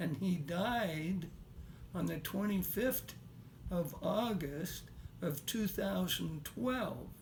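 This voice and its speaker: In a room with audible echo, a man with a high pitch speaks at a very slow pace, with ordinary pitch variation, very even loudness and long, frequent pauses. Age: 80s+. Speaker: retired rocket engineer. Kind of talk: family interview, recollection. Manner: halting, many fillers.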